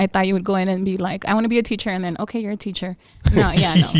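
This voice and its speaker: A woman's medium-pitched voice at a very fast pace, with fairly even intonation. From El Paso, Texas. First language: Spanish. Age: 30s. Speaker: psychic medium. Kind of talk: casual chat.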